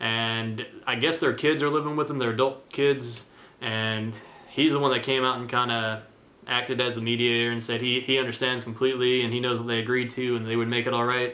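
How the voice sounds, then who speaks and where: Audible room echo surrounds a man of medium pitch who talks at a fairly quick pace in a monotone, flat intonation. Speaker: vlogger and landlord. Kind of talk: casual vlog talk to camera. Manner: hesitant, many fillers.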